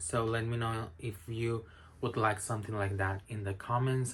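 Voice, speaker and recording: With a Spanish accent, a man speaks in a bright, sharp tone and fairly even intonation. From Spain. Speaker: book reviewer. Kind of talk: casual recommendation talk to camera. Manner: hesitant with many fillers.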